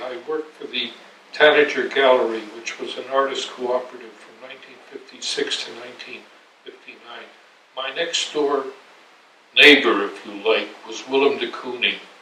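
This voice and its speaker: A man speaking in an American accent, medium in pitch, keeps a moderate pace amid noticeable background noise. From New York. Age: 80s+. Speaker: art critic and historian. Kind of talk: interview answer. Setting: home apartment.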